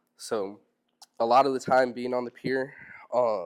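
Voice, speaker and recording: With an American accent, a man speaks in a medium pitch at a moderate pace, his intonation monotone and flat. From US South, Robeson County, North Carolina. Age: 20s. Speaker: fisherman, seminar speaker. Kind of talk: public talk to audience. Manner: hesitant, many fillers.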